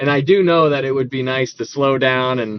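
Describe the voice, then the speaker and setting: The pace here is fairly quick. Pitch variation is ordinary. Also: man. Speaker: Bible study teacher. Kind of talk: live Bible study stream, reading chat comments. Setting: livestream. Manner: fast; animated.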